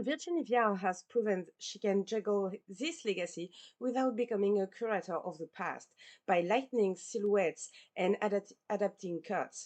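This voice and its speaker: A woman with a non-native accent speaks at a moderate pace. The background is quiet. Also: medium pitch for a woman, ordinary pitch variation. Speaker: podcast host. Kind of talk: podcast outro; scripted narration.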